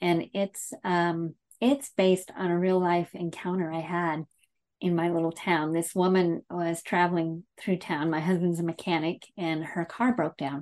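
An ordinary speaking voice at a fairly slow pace, with fairly even intonation, in a dry, close sound with no echo and a quiet background. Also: woman, fairly low pitch for a woman. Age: 50s. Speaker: novelist. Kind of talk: interview.

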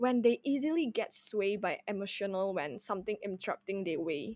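At a moderate pace, a woman speaks with very wide pitch swings, recorded very cleanly against a silent background with a dry, close sound and no echo. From Indonesia. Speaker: university student, youth advisory board member. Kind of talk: casual podcast conversation.

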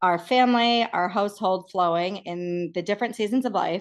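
An ordinary speaking voice with an American accent, fairly even intonation and a fairly quick pace over a quiet background. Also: woman. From Massachusetts, US. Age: 30s. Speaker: organizing expert and stay-at-home mom. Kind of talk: interview.

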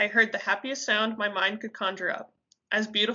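This is reading aloud in a natural voice. The intonation is fairly even and the background quiet.

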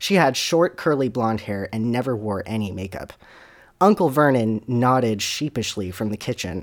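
What we hear is a natural reading voice.

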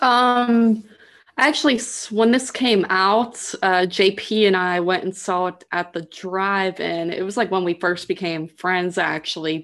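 A woman speaks with an ordinary speaking voice at medium pitch with ordinary pitch variation. She goes at a fairly slow pace against a quiet background. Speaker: actress, podcast guest. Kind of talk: casual chat.

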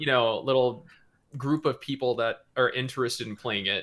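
Using an ordinary speaking voice, a man talks at a moderate pace with medium pitch. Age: 30s. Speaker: gaming YouTuber. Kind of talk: casual chat.

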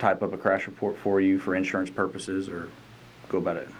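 Someone speaks at a very fast pace with a north Georgia accent. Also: man. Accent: Southern US (north Georgia). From north Georgia (Lumpkin County). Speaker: state trooper. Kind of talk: casual chat.

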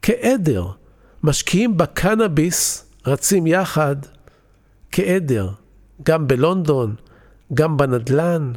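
Over a silent background in a very clean recording, a man speaks very slowly at a fairly high pitch, his pitch swinging very widely while his loudness stays very even, with long, frequent pauses. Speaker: podcast host, investment educator. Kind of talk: solo podcast monologue. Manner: scripted, storytelling delivery.

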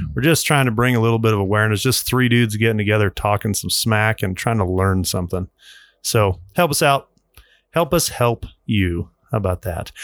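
The speaker has a plain, everyday voice and an American accent. The pitch variation is ordinary. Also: man, fairly low pitch for a man, moderate pace. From US Colorado. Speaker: podcast host. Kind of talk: casual chat. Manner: casual, chatty.

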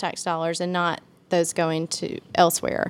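Speaking with a Mississippi accent, a woman has a medium pitch. She talks at a fairly slow pace in a very clean recording with a silent background. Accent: US Southern (Mississippi). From Mississippi (Meridian, Jackson). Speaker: city alderwoman. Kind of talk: casual chat. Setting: hotel room.

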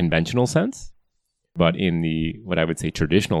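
The speaker uses an American accent and moves at a fairly quick pace. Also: man. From US Midwest (Wisconsin). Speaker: climate scientist, professor. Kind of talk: interview. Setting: office.

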